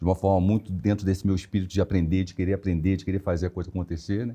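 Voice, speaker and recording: A man with a very deep, low voice talks at a very fast pace with ordinary pitch variation. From Rio de Janeiro, Brazil. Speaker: HR director. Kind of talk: interview conversation.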